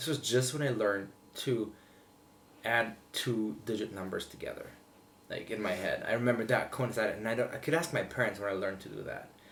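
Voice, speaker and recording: Amid noticeable background noise, a man talks fairly quickly at a medium pitch with ordinary pitch variation. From Slovenia. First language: Slovene. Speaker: vlogger. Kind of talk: casual chat. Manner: halting.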